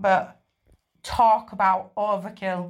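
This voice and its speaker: A woman is speaking. She talks with a northern English accent. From northern England. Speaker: listener sending in a story. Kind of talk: recorded voice message telling a story.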